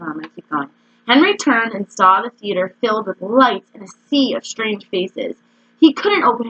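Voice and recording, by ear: This clip has a natural voice reading aloud.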